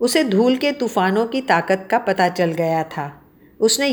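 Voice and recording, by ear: With lively intonation, a passage is read aloud in a natural voice.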